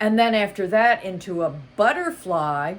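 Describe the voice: Reading aloud, plain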